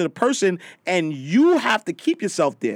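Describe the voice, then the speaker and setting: Loud and at a moderate pace, a man speaks with a dry, close sound and no echo. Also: very clean recording, silent background. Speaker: motivational speaker and personal finance writer. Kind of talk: casual interview chat. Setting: studio. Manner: loud, animated.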